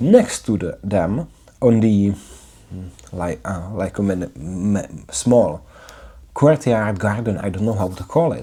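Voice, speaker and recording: A man with a non-native accent talks very slowly in a fairly low, dark, mellow voice that is somewhat breathy. His intonation is lively. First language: not English. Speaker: English learner vlogger. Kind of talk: video diary monologue. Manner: halting, with fillers and repetitions.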